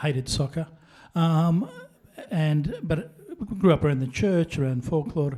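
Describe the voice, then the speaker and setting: The man talks at a moderate pace in a dark, mellow tone. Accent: Australian. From Melbourne, Australia. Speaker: panelist. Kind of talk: panel introduction. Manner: hesitant, many fillers.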